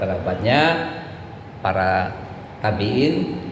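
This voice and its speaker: A man talks fairly slowly in a room with audible echo, noticeable background noise running beneath his words. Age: 60s. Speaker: religious preacher. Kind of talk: sermon.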